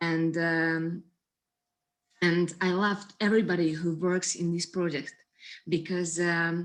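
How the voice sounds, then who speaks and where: Against a quiet background, a woman with a non-native accent speaks fairly slowly in a monotone, flat intonation, leaving long, frequent pauses. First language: not English. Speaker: actress. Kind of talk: festival Q&A. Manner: halting.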